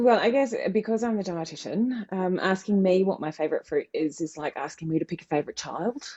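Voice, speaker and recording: The speaker has a New Zealand accent. The pace is fairly quick. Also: woman, medium pitch for a woman, lively intonation, hardly any pauses. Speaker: dietitian. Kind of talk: interview.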